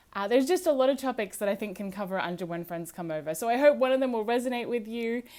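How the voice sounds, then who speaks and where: A woman's fairly high, dark and mellow voice with an American accent, very fast with hardly any pauses and lively intonation. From Australia, small town. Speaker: podcast host. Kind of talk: casual monologue.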